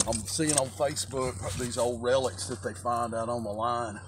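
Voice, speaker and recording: A man at a moderate pace with fairly even intonation, dry sound with no echo, and noticeable background noise. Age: 60s. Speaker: cable lineman. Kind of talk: casual talk to camera. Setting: outdoors. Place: open country. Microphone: phone near.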